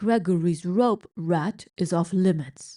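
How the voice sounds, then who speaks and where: A woman does a put-on character voice that is booming, at a medium pitch. She speaks at a fairly slow pace in a dry, close sound with no echo. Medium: read story. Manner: booming, refers to himself in third person.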